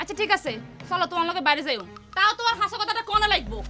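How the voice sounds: A woman's put-on character voice, extremely high and bright, sharp in tone, with big pitch swings and a very fast pace over faint music in the background.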